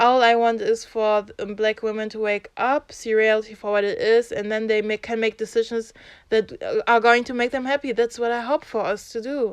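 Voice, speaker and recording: Intonation stays monotone and flat in a German accent. The sound is dry and close with no echo, over a quiet background. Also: woman, fairly high pitch for a woman, moderate pace. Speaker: YouTuber, social commentator. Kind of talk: vlog monologue. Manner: unscripted, halting with restarts; passionate.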